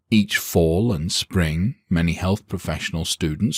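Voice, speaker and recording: On a very clean recording with a silent background, a man with a British accent speaks in a very deep, low pitch. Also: dry, close sound with no echo. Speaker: audiobook narrator. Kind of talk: audiobook narration.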